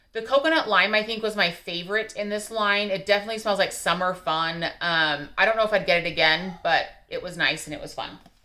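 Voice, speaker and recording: A woman's medium-pitched voice, bright and sharp, at a very fast pace on a very clean recording with a silent background. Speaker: YouTuber reviewing wax melts. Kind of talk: casual vlog review.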